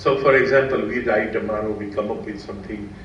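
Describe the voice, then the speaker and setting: Amid noticeable background noise and audible room echo, a man with an Indian accent talks at a moderate pace. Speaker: quantitative finance professional. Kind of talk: seminar talk. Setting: seminar with audience.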